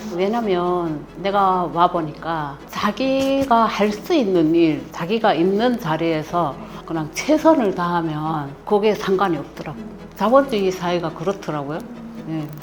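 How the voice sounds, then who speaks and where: Someone speaks with a strong North Korean accent at a fairly slow pace. Music plays in the background, and the room echo is audible. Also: woman, fairly low pitch for a woman, lively intonation. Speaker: mother-in-law of the author, North Korean defector. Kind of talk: interview.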